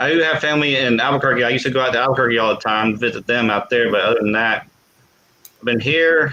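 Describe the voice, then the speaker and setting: With an American accent, a man speaks at a medium pitch with ordinary pitch variation. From Texas, Dallas. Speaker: livestream host, army veteran. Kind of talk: casual chat. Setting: live stream. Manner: halting, many repetitions.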